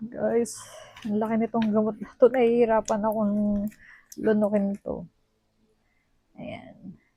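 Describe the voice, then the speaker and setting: The voice is somewhat breathy and dark, mellow in tone, delivered in a monotone, flat intonation broken by long, frequent pauses. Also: woman, fairly high pitch for a woman, fairly slow pace. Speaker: vlogger. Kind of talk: casual vlog talk. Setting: at home. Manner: soft-spoken.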